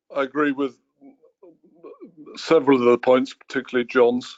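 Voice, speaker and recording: A man with a British accent, medium pitch, and monotone, flat intonation at a moderate pace. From United Kingdom. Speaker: racing industry executive. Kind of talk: panel webinar discussion.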